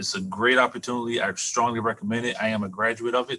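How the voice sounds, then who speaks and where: A man talks very fast in a bright, sharp tone. His pitch is medium, with ordinary variation. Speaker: veteran employment representative. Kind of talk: presentation. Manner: halting, repeats words.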